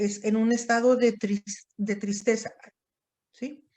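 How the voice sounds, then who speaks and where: The woman speaks at a very slow pace. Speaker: psychiatry teacher. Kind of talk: lecture. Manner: halting.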